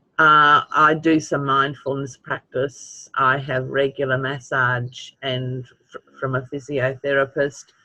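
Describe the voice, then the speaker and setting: At a fairly slow pace, the speech comes out with monotone, flat intonation. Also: man, fairly high pitch for a man. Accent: Australian. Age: 70s. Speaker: webinar participant with chronic pain. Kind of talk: webinar Q&A.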